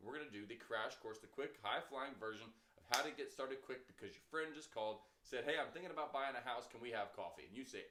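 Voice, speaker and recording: The tone is bright, sharp and animated. Lively intonation carries the fairly quick pace. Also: man. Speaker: real estate trainer. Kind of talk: training lecture. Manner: fast.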